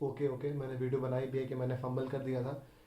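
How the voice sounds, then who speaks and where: Audible room echo surrounds a man whose somewhat breathy voice has a dark, mellow tone and a monotone, flat intonation. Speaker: bank exam candidate, YouTuber. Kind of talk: casual personal account. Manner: casual, mixes Hindi and English.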